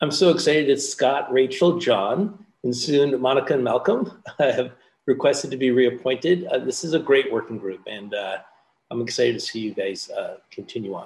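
A man talks at a moderate pace with a fairly high pitch. He has a plain, everyday voice with ordinary pitch variation. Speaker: committee chair. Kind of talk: public meeting chairing. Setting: video call.

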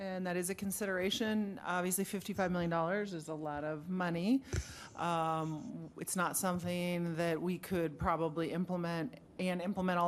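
Fairly even intonation in a normal speaking voice. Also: woman. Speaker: city manager. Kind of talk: formal staff reply to council.

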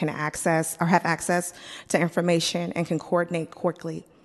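A woman with a normal speaking voice talks at a moderate pace, her pitch fairly low, against a quiet background. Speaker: city department director. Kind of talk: presentation.

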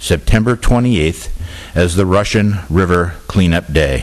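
The man's voice is very deep and low, with ordinary pitch variation. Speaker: vice mayor chairing council meeting. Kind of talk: formal council meeting chairing. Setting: council chamber with public address.

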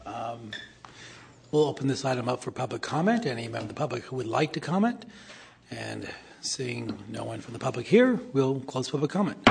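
Loudness swinging widely, a man speaks at a fairly quick pace. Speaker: committee chair, local politician. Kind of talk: chairing a public meeting. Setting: government committee meeting room.

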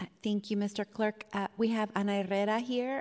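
A woman speaks in a normal speaking voice at medium pitch, keeping a moderate pace and fairly even intonation. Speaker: city legislator chairing committee. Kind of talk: chairing a public meeting. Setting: council chamber.

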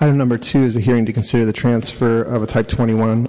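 Medium in pitch, this man's voice holds a monotone, flat intonation. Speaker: committee clerk. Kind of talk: formal agenda reading. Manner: formal.

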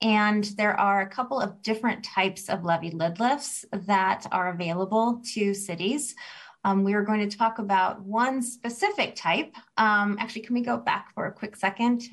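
Somewhat breathy, a woman speaks at a medium pitch and a moderate pace with fairly even intonation. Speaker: bond counsel lawyer. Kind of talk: legal briefing. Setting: remote, video call.

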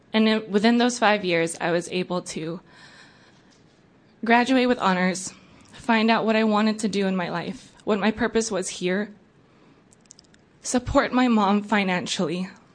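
Speaking at a moderate pace with long, frequent pauses, a woman keeps her medium-pitched voice in fairly even intonation. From came to US age four, immigrant. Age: 20s. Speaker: public commenter, DACA recipient. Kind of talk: public testimony.

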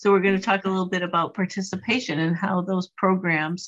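Speaking at a fairly quick pace, a woman uses an ordinary speaking voice with medium pitch and fairly even intonation. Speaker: city parks planning manager. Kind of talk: public meeting presentation. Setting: video call.

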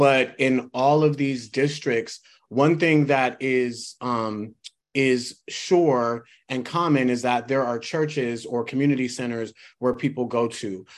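A man speaking at a very slow pace with fairly even intonation. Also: medium pitch for a man. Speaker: committee member. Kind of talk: committee discussion.

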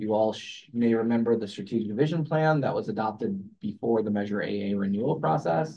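This is a plain, everyday voice with ordinary pitch variation. It moves at a fairly quick pace with hardly any pauses. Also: man, medium pitch for a man. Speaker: transportation agency planning director. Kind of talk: staff presentation at public meeting. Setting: hybrid public meeting room.

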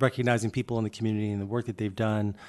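Over a quiet background, a man speaks at a medium pitch with flat, monotone intonation. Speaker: executive director of agency. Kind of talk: formal meeting remarks.

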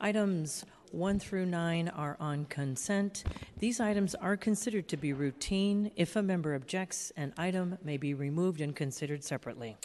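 A plain, everyday voice belongs to a woman with a fairly low pitch. She speaks at a moderate pace with lively intonation. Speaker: clerk of legislative board. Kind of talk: formal roll call and agenda reading. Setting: legislative chamber in city hall. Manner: formal.

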